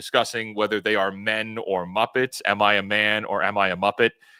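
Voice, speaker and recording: This man speaks loud at a moderate pace, with a fairly low pitch and a bright, sharp tone. The recording is very clean, with a silent background and a dry, close sound with no echo. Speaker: YouTube commentator. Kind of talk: live stream commentary.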